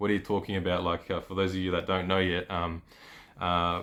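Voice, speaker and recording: A man talks with an Australian accent. His pitch is very deep and low. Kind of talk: casual vlog talk. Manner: hesitant, many fillers.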